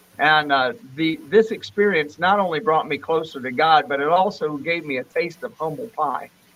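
A man with an American accent and a normal speaking voice talks at a moderate pace in a fairly high pitch, with ordinary pitch variation and hardly any pauses. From Florida, US. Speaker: pastor and studio musician. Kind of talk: casual interview; evangelistic testimony.

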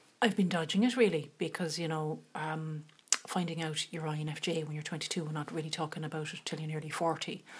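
A woman with an Irish accent and a very deep, low pitch, fairly quick and fairly even in intonation, amid noticeable background noise. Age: 40s. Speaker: podcast host. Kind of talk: casual chat.

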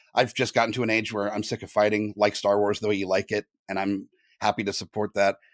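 Flat and monotone, an American accent races along at a very fast pace on a very clean recording with a silent background. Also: man, fairly low pitch for a man. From Southern California. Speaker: podcaster and podcast network leader. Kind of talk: interview.

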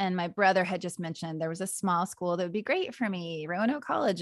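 Moving at a fairly quick pace, a woman with a plain, everyday voice speaks at a medium pitch with ordinary pitch variation. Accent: American. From US West (Wyoming). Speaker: podcaster. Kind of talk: casual chat.

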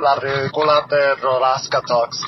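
A man speaks in a fairly high pitch. There is noticeable background noise. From Puerto Rico, Juana Díaz. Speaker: listener leaving voicemail. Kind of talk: voicemail message. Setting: phone voicemail.

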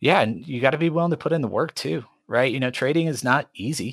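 Using an unremarkable speaking voice, a man talks at a fairly quick pace with lively intonation. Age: 30s. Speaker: pastor and options trader. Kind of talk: interview.

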